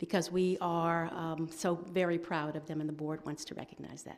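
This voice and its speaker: At a moderate pace, a woman speaks in a plain, everyday voice with fairly low pitch. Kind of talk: ceremony announcement. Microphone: podium.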